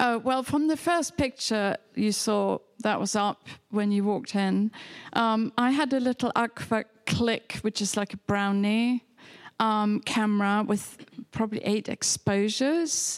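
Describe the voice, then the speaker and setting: With a German accent, a woman speaks at a fairly slow pace in a fairly high voice with ordinary pitch variation. Her loudness stays very even, and the sound is dry and close with no echo. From Germany (near Hamburg). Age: old. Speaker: photographer. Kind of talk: public conversation. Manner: halting.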